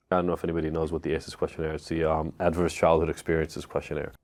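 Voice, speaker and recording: Man with an Israeli accent against a quiet background. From Israel (Tel Aviv), then US at 14. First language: Hebrew. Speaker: addiction expert. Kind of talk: podcast interview, personal story. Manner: casual, conversational.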